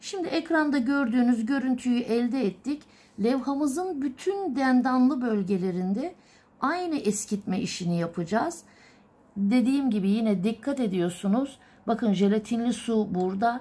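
At a moderate pace, a woman speaks in a high voice with a dark, mellow tone. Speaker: illumination artist teacher. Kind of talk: tutorial. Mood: calm, patient. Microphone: phone near.

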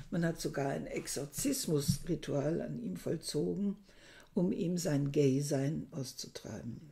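Slowly and with vocal fry, a woman speaks in a dark, mellow tone at a very deep, low pitch. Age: 60s. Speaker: book reviewer. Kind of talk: book review monologue. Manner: hesitant, with frequent fillers. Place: home room. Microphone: webcam.

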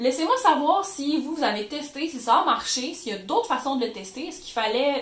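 The voice moves at a moderate pace with lively intonation and big swings in loudness. Noticeable background noise and audible room echo fill the recording. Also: woman. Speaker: YouTuber. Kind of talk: tutorial. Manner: animated.

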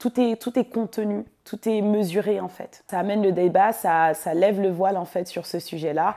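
The voice has a dark, mellow tone and ordinary pitch variation. It moves at a moderate pace over a quiet background. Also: woman, medium pitch for a woman. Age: 20s. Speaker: filmmaker. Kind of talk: interview monologue. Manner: hesitant, many fillers. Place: office. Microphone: lapel.

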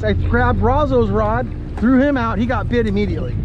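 Noticeable background noise runs under a man speaking at a moderate pace. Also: dry sound with no echo. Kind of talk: casual vlog chat. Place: boat. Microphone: phone near.

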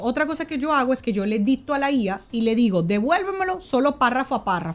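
Very fast, animated delivery in a Dominican accent, with very wide pitch swings and hardly any pauses. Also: woman. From Dominican Republic. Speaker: author and businesswoman; interview guest. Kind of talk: interview. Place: studio. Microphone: studio mic.

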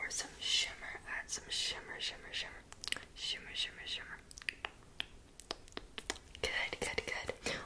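Through loud background noise, a woman is whispering. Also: fairly slow pace. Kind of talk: ASMR roleplay talk to viewer. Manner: close, intimate ASMR whisper. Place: home room. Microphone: phone near.

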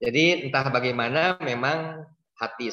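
Against a quiet background, a man with a bright, sharp tone talks at a fairly slow pace with ordinary pitch variation. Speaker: donor; webinar guest. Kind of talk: casual interview. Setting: video call. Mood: warm, reflective. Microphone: video call.

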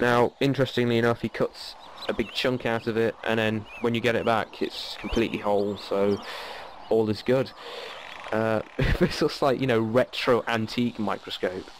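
With a British accent, a man speaks at a moderate pace and medium pitch, his loudness very even and his intonation fairly even, over noticeable background noise. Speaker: let's play gamer. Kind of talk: casual gameplay commentary.

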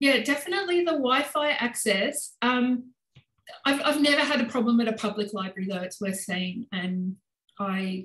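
In an Australian accent, a woman speaks with lively intonation, with audible room echo and light background noise. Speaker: senior lecturer in political science. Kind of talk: interview answers at a meeting. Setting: video call. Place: home room. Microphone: video call.

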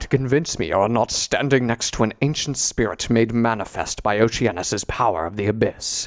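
A man performs a put-on character voice that sounds resonant. He keeps a moderate pace. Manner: imperious, wry.

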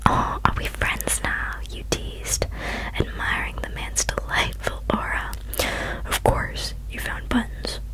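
Over loud background noise, a soft-spoken woman whispers at a fairly slow pace, the sound dry with no echo. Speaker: storyteller. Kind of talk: fiction reading, soft ASMR-style narration. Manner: close soft whisper, ear to ear. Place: home room. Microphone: studio mic.

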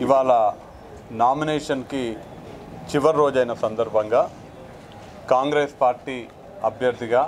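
Over light background noise, a man with a medium pitch speaks with fairly even intonation. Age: 30s. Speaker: parliamentary election candidate; candidate. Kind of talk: press statement to media. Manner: formal. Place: street.

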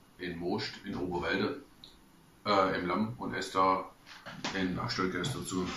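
A man with a very deep, low pitch speaks with long, frequent pauses. Noticeable background noise can be heard. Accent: Swabian. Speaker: travel blogger. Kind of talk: casual talk to camera, food tasting. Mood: relaxed, humorous. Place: home room. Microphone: camera far.

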